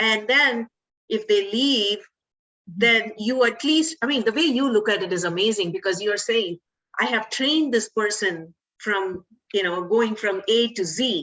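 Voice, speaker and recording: A woman with an ordinary speaking voice talks fairly slowly, her pitch varying in an ordinary way. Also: fairly high pitch for a woman. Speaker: podcast host. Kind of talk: interview host talk.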